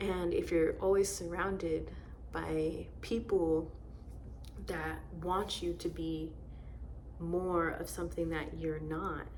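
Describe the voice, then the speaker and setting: A soft-spoken woman with a gentle tone at a very slow pace, long, frequent pauses, audible room echo and noticeable background noise. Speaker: tarot reader. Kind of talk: tarot reading. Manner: gentle, quiet.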